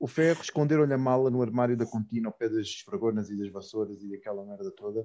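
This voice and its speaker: At a very fast pace, a man speaks in a dark, mellow, medium-pitched tone with ordinary pitch variation. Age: 20s. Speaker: guest, childhood friend of host. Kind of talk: casual chat.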